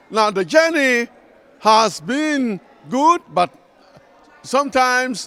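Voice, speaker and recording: A man's raised, projected voice, bright and sharp in tone, at a very slow pace. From Ghana. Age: 70s. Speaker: retired minister and theology professor. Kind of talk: personal testimony speech. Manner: halting, many fillers.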